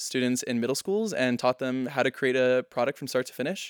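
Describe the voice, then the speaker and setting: A normal speaking voice from a man with an American accent, medium pitch and a fairly quick pace, on a very clean recording with a silent background and a dry, close sound with no echo. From Texas. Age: young. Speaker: university student. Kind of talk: interview.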